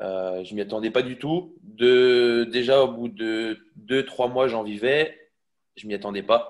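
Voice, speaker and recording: A man's medium-pitched voice at a very slow pace, with ordinary pitch variation and big swings in loudness. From Brittany, Quimper. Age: 20s. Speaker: fitness coach. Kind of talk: testimony interview. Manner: halting, many fillers.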